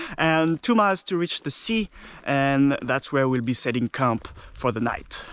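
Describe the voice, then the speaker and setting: A man with a French accent, fairly high-pitched, lively in intonation, in a dry, close recording free of echo. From France (Normandy). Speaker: travel vlogger. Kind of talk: casual vlog narration. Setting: outdoors. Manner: halting.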